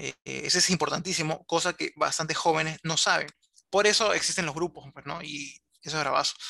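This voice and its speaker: Fairly high in pitch, a man speaks at a fairly quick pace with a bright, sharp tone, vocal fry and fairly even intonation. The sound is dry and close, with no echo. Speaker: illustrator and animator. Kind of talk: interview.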